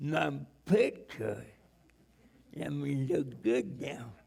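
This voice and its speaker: In a room with audible echo, a man speaks very slowly at a medium pitch, his pitch swinging very widely. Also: long, frequent pauses. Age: 70s. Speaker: evangelist. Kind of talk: sermon. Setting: church. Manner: halting, repetitive.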